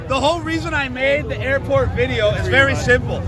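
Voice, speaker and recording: A man at a fairly quick pace, crowd noise in the background, audible room echo. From Canada. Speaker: activist. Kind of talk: casual chat. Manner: animated.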